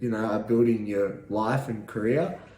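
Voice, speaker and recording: A man with an Australian accent speaks in a somewhat breathy voice at a fairly slow pace. Room echo is audible. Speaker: vlogger. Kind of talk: casual monologue vlog. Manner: halting, many fillers.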